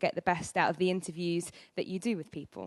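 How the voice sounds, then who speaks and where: With an East Anglian accent, a woman talks at a fairly quick pace and medium pitch, recorded dry and close with no echo over a quiet background. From England, Norwich (Norfolk). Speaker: radio presenter and musician. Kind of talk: conference presentation. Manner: loud.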